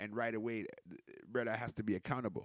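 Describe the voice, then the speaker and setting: A man with a medium pitch speaks in an animated tone. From Canada, with Jamaican roots. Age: 40s. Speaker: podcaster and DJ. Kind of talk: casual livestream monologue. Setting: home DJ setup, livestream.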